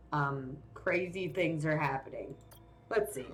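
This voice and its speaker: A woman talks with lively intonation. Her voice carries an audible room echo. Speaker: video game streamer. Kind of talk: live game stream commentary. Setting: live stream. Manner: loud.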